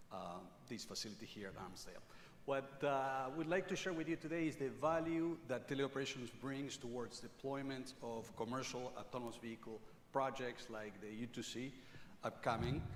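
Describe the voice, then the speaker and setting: A man at medium pitch speaks at a moderate pace with ordinary pitch variation, and audible room echo is present. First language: not English. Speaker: technology company speaker. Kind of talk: conference presentation. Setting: stage with audience.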